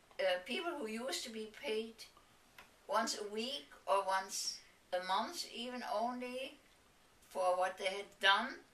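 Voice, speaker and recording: A woman with a fairly high pitch and lively intonation, long and frequent pauses, and audible room echo. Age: 80s+. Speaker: interviewer. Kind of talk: reminiscing interview.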